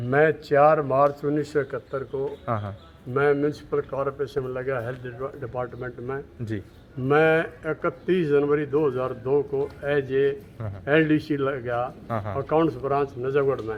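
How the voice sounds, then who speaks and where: Through noticeable background noise, a man with a fairly high pitch talks with fairly even intonation. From Delhi. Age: 70s. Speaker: dairy cow breeder, retired municipal clerk. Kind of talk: interview answer.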